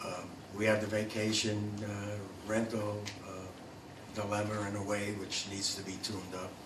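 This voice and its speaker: A man with an American accent and a fairly low pitch, recorded amid noticeable background noise and audible room echo. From New York. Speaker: council candidate, former councilman, veteran. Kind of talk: candidate forum opening statement.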